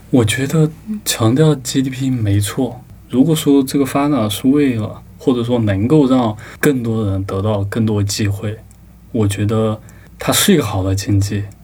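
A man speaks at a moderate pace with ordinary pitch variation, and audible room echo can be heard. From Sichuan, China (rural). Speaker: book review editor. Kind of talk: casual chat.

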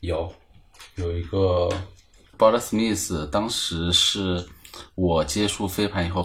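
A man speaks with a very deep, low pitch and a somewhat breathy quality. His pace is fairly slow, with ordinary pitch variation. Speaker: ultimate frisbee club founder, internet worker. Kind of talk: casual chat.

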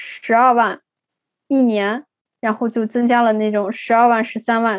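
A woman's voice, high in pitch. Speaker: consultant living abroad. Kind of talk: interview.

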